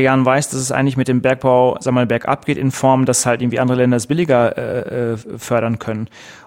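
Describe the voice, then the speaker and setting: Against noticeable background noise, a man speaks at a fairly quick pace in a medium pitch. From Ruhr area, Germany. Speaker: podcast host. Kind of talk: casual chat. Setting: office.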